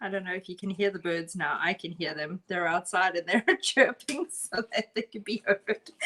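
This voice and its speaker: A woman's voice at medium pitch with a strong South African accent, bright and sharp in tone, at a moderate pace with ordinary pitch variation and hardly any pauses, in a dry, close sound with no echo. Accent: South African, still strong. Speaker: art instructor. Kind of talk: live painting tutorial. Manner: casual, chatty.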